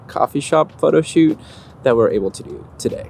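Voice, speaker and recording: A man speaks at a fairly quick pace against light background noise. The sound is dry, with no echo. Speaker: photographer vlogger. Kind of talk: casual vlog chat. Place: garden. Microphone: phone near.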